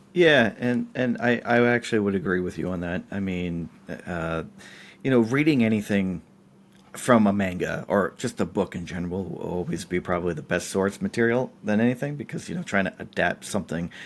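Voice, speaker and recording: Using a plain, everyday voice, a man speaks at a fairly quick pace in a fairly low pitch with lively intonation. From central Massachusetts. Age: 30s. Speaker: podcast guest, film industry worker. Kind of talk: casual chat.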